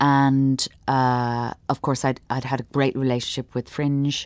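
At a fairly slow pace, a woman with an Irish accent speaks in a very deep, low pitch with monotone, flat intonation. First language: Irish Sign Language. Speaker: performance artist and sign language interpreter. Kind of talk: interview. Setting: theatre.

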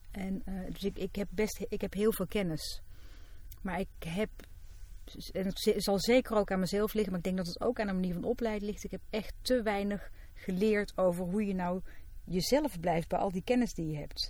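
With a dark, mellow tone, a woman speaks in a somewhat breathy voice at medium pitch and moderate pace, keeping her intonation fairly even. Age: 40s. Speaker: psychologist. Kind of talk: casual chat.

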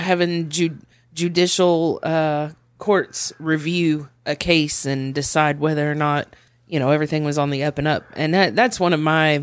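A man with an American accent and a plain, everyday voice, fairly high in pitch, at a moderate pace with fairly even intonation, on a very clean recording with a silent background. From Tulsa, Oklahoma. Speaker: podcast guest. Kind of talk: casual chat.

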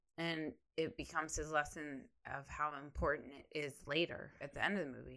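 A woman with an American accent speaks with a very deep, low pitch, vocal fry and a bright, sharp tone. Her pace is fairly quick and her intonation fairly even on a very clean recording with a silent background. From Ohio. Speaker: co-host of animation podcast, TV show creator. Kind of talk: casual chat. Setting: studio.

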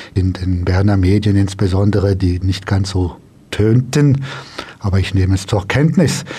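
A man's speech holds a moderate tempo and fairly even intonation, with noticeable noise behind it. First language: French (speaking German). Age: 50s. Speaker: politician. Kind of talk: radio interview. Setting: studio.

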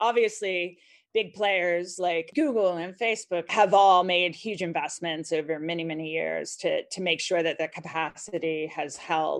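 A woman with an ordinary speaking voice, fairly low in pitch, with ordinary pitch variation at a moderate pace against a quiet background. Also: hardly any pauses. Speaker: technology policy consultant. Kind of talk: casual interview chat.

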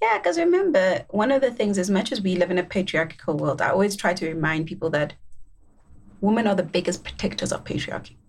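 Her voice is somewhat breathy and medium in pitch. The woman talks at a very fast pace. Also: ordinary pitch variation. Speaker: podcast host. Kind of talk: casual panel discussion.

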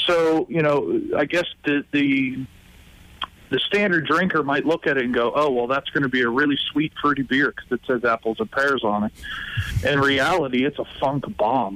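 With an American accent and an unremarkable speaking voice, a man talks at a moderate pace and fairly high pitch with ordinary pitch variation, the sound dry and close with no echo. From Pittsburgh area, Pennsylvania. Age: 30s. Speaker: brewery owner. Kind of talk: interview.

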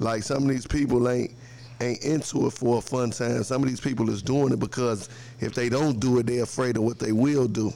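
A normal speaking voice from a man of medium pitch, fairly quick in pace and fairly even in intonation. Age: 30s. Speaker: small business owner. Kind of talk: casual chat.

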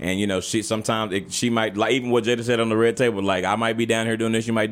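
Noticeable background noise runs beneath a man talking at a very fast pace. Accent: American. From Texas. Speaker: podcast host. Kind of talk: casual chat. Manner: animated.

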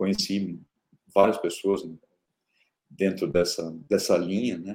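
The man's voice has a dark, mellow tone. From Brazil, interior of São Paulo state (Araraquara). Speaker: tech company founder and CEO. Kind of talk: interview. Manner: hesitant with frequent repetitions.

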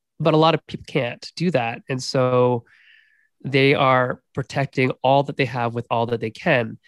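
A man with an unremarkable speaking voice talks at a medium pitch and moderate pace with fairly even intonation, in a dry, close recording with no echo. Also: quiet background. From Canada. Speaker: game designer and professor. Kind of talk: casual chat.

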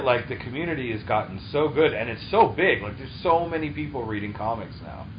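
Very fast speech with hardly any pauses, an American accent, very wide pitch swings and big swings in loudness over noticeable background noise. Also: man. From Massachusetts (Taunton, near Providence). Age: 30s. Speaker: podcast host. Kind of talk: casual chat.

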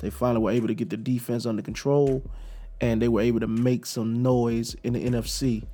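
A man with a dark, mellow tone talks at a medium pitch and a fairly quick pace, with ordinary pitch variation. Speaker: guest sports fan, former coworker of host. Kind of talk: casual sports chat. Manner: passionate.

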